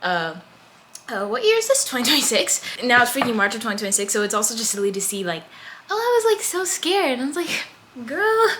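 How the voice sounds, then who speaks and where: A woman with an American accent at a high pitch, very wide pitch swings and a very fast pace broken by long, frequent pauses, over noticeable background noise. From United States. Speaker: vlogger, college student. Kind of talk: casual chat. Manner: animated.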